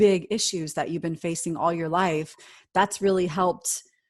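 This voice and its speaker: A woman speaks in an unremarkable speaking voice at a medium pitch and a moderate pace. The background is quiet. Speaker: podcast host. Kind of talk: interview question.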